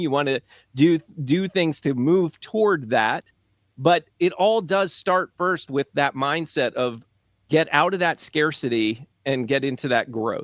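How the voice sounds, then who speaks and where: A man talks fairly slowly in a plain, everyday voice, fairly high in pitch with ordinary variation. The recording is very clean, with a silent background and a dry, close sound with no echo. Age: adult. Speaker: podcast co-host. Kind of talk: casual podcast discussion.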